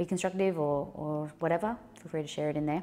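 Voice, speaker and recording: Soft-spoken, a woman has a very deep, low pitch and a dark, mellow tone on a very clean recording with a silent background. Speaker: live streamer. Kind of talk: live stream chat reading. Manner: halting.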